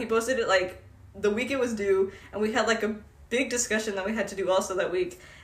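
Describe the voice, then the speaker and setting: Someone talks at a very fast pace amid noticeable background noise. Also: woman. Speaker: college student podcast co-host. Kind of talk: casual chat.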